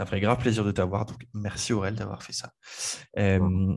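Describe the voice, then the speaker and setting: A man talks at a moderate pace in a fairly low pitch. His intonation stays fairly even over a quiet background. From France, Le Mans. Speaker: podcast host. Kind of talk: casual chat.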